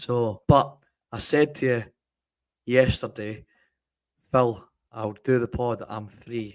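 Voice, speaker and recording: In a very clean recording with a silent background, a man with a Scottish accent speaks at medium pitch and a very slow pace, with fairly even intonation, long, frequent pauses, and big swings in loudness. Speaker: podcast co-host. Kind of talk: casual chat.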